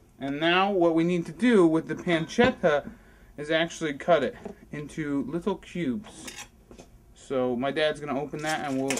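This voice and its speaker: At a moderate pace and with ordinary pitch variation, a man speaks over light background noise. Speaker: cooking show host. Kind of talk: tutorial. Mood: relaxed, friendly. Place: kitchen. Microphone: phone near.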